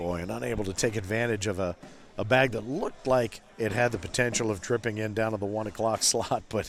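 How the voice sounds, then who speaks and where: Music plays in the background as a man speaks at a fairly quick pace. His pitch is fairly low and his intonation fairly even. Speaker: cornhole commentator. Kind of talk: live sports commentary. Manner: conversational, playful.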